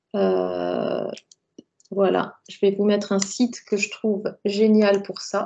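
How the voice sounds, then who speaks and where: Pausing often and at length, a woman talks at a very slow pace. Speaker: personal branding coach. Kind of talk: online workshop presentation. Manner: hesitant, many fillers.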